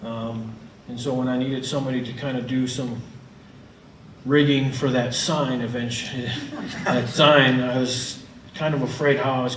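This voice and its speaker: A man of medium pitch speaks in an American accent at a moderate pace, his intonation monotone and flat, with audible room echo and noticeable background noise. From northern Illinois, US Midwest. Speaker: filmmaker. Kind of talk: presentation about his film.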